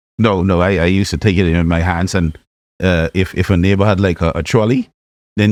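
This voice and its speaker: Very fast and in a Bahamian accent, a man talks at a very deep, low pitch, keeping his loudness very even and his intonation fairly even. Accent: Bahamian, kept after 30 years abroad. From Bahamas (Nassau area). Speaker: chemical engineer and scientist. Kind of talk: podcast interview, personal story. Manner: hesitant, repeats words.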